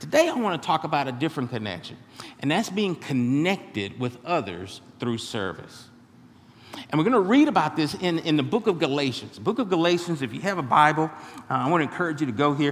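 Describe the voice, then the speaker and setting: This man talks at a fairly quick pace with vocal fry. His pitch swings very widely. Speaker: pastor. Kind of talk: sermon. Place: church. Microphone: headset.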